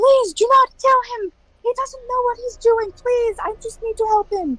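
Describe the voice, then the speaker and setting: The speaker uses a put-on character voice at an extremely high pitch and a moderate pace. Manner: pleading.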